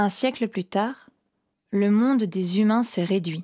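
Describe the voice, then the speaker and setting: A woman at a medium pitch and a fairly slow pace, with ordinary pitch variation, in a very clean recording with a silent background and a dry, close sound with no echo. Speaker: storyteller performer. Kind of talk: dramatic first-person narration as the knotweed plant. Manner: theatrical, clipped declarative phrasing; slow, ceremonial, solemn address.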